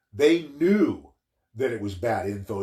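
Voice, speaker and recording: With an American accent, a man speaks at a fairly slow pace, somewhat breathy, his intonation lively. The recording is very clean with a silent background. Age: 60s. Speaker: political commentary livestream host. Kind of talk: political commentary monologue. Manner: halting, with false starts.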